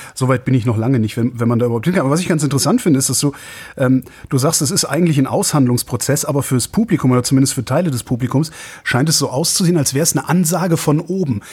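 A man talks at a very fast pace with a fairly high pitch. His voice is somewhat breathy, and his pitch varies in an ordinary way. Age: 50s. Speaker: radio host. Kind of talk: casual chat.

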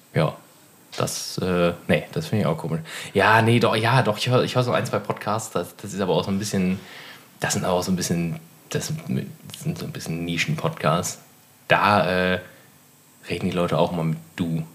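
A man's very deep, low voice with long, frequent pauses. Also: lively intonation, moderate pace. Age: 30s. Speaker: podcast co-host. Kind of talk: casual chat.

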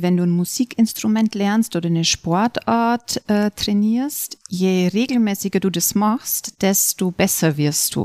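At a fairly slow pace, a woman speaks in a calm, soothing, dark and mellow tone with ordinary pitch variation and very even loudness, the sound dry and close with no echo. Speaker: yoga and meditation teacher. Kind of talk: guided meditation. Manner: slow, calm, soothing, with long pauses; soft-spoken, measured counting.

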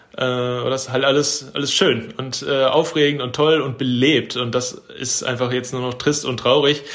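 Intonation stays fairly even, with noticeable background noise and audible room echo. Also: man. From Germany, Ruhr area (Bochum). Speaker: photographer. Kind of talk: casual chat.

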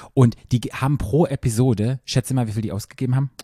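A man speaks at a fairly quick pace in a medium pitch, with fairly even intonation. His tone is dark, mellow and somewhat breathy, the sound dry and close with no echo. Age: 40s. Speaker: podcast co-host. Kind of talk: casual chat. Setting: studio on a couch.

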